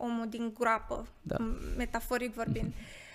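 Here a woman talks at a high pitch and a moderate pace. The recording is very clean and the background silent. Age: 20s. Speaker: psychotherapist. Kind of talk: interview.

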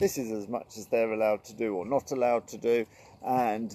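A man's medium-pitched voice at a fairly quick pace, dark and mellow in tone, with a dry, close sound and no echo. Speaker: riding instructor and hypnotherapist. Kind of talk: live stream talk to viewers. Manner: animated.

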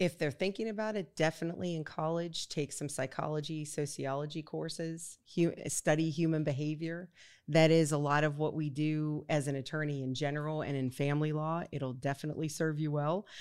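With an American accent, a woman speaks at a fairly quick pace with hardly any pauses, her very deep, low voice carrying fairly even intonation in a very clean recording with a silent background. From Pennsylvania, Pittsburgh. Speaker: family lawyer. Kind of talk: casual interview.

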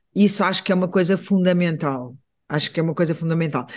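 The intonation stays fairly even over a quiet background. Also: man. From Portugal. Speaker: visual artist. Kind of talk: interview conversation. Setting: radio studio. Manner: halting, many repetitions.

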